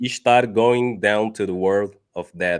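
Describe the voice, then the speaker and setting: A man with a Portuguese accent speaks at a fairly slow pace, his fairly low pitch carried in fairly even intonation. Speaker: debater. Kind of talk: debate. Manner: halting.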